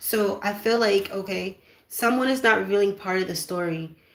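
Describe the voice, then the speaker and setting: A woman's medium-pitched, fairly even delivery in a normal speaking voice. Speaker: spiritual card reader. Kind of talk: oracle card reading.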